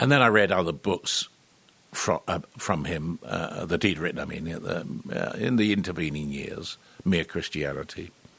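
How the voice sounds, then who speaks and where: With a British accent, a man speaks at a moderate pace in a very deep, low pitch and lively intonation. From London, England. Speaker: actor. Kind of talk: interview. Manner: hesitant, many fillers.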